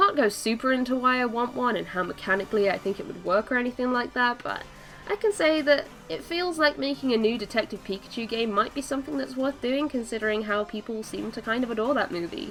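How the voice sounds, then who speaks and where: A woman's high, lively voice at a very fast pace, against noticeable background noise. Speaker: gaming video creator. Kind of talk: casual talk to camera.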